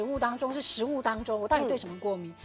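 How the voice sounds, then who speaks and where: The speech moves at a very fast pace over clear music in the background. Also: woman. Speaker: TV guest. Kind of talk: talk show chat. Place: studio. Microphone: lapel.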